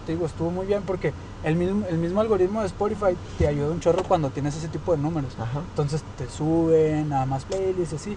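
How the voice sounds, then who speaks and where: Over noticeable background noise and audible room echo, a man talks at a very fast pace with a high pitch and ordinary pitch variation. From Chihuahua, northern Mexico. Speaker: singer-songwriter. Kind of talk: casual chat. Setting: in a car.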